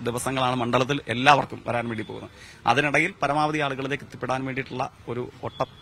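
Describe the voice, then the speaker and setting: A man speaks with fairly even intonation in a normal speaking voice. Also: medium pitch for a man. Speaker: election candidate, politician. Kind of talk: news interview. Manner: formal.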